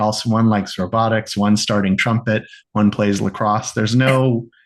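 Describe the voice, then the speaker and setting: A man talks in a normal speaking voice at medium pitch. His pace is fairly quick, over a quiet background. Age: 50s. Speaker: rabbi and creativity coach. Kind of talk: podcast interview.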